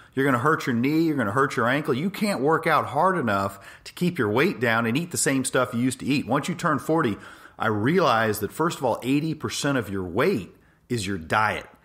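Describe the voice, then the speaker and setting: Man with an American accent and a normal speaking voice, medium pitch, lively intonation, at a moderate pace. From Los Angeles, US. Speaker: orthopedic spine surgeon. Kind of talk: health monologue podcast.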